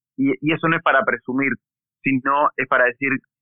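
Speaking at a moderate pace, a man with an unremarkable speaking voice has a fairly high pitch and ordinary pitch variation. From Argentina, Bariloche (Patagonia). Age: 40s. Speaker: mountain bike racer and event organizer. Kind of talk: interview conversation.

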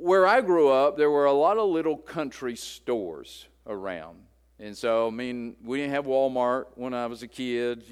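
A man speaks at a fairly slow pace with an Appalachian accent, his intonation lively and his loudness swinging widely. The recording is very clean, with a silent background. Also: medium pitch for a man. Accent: Appalachian US Southern. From West Virginia. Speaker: pastor. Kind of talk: sermon. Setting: church.

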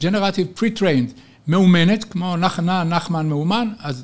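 The voice is a man's, pitched high. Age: 70s. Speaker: futurist and retired professor. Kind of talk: interview. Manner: energetic.

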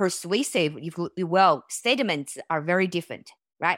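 A woman with a Chinese accent, fairly low in pitch, at a moderate pace, in a very clean recording with a silent background and a dry, close sound with no echo. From China. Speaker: tech company founder and CEO. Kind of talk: interview.

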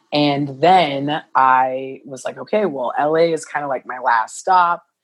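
A woman with an American accent talks at a fairly slow pace. Her pitch varies in an ordinary way. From US Midwest, southern Illinois. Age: 20s. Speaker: model. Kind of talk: casual chat. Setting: video call.

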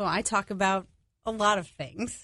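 A woman with a New York accent speaks at a medium pitch against a quiet background. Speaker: podcast producer. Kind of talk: radio interview. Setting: studio.

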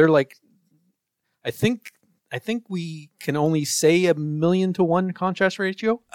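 Ordinary pitch variation runs through this man's high voice, recorded in a dry, close sound with no echo. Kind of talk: casual chat. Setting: podcast interview.

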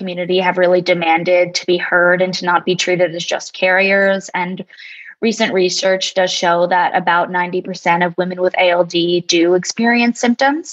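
An unremarkable speaking voice with an American accent keeps a moderate pace and fairly even intonation. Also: woman. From New Jersey. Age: 20s. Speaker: patient advocate. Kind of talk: interview.

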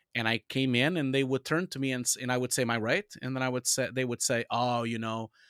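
Fairly quick speech from a man at a medium pitch, monotone and flat, in a dry, close sound with no echo and a very clean recording against a silent background. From Portugal. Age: 40s. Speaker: visual effects director and supervisor. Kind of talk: interview.

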